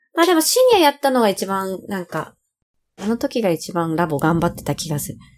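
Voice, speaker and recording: A woman speaks at a medium pitch with very wide pitch swings. Her pace is fairly quick. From Japan, Funabashi, Chiba. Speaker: singer-songwriter and voice trainer. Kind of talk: casual interview. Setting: remote recording.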